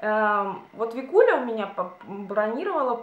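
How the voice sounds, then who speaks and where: Lively intonation amid audible room echo. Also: woman. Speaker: beauty and lifestyle vlogger. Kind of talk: casual chat. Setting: home video, by a window. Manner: chatty, informal. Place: home room. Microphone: camera far.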